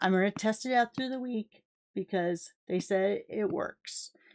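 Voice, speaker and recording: An ordinary speaking voice at a moderate pace with ordinary pitch variation, dry and close with no echo, on a very clean recording with a silent background. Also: woman. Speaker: crafting tutorial host. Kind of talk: tutorial.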